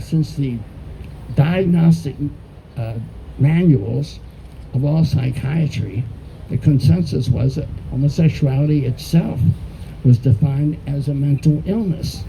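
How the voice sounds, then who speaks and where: A man with an American accent talks at a fairly slow pace and a medium pitch, leaving long, frequent pauses. Noticeable background noise runs underneath. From US, born Baltimore, studied in Texas. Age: 80s+. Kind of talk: talk to an audience.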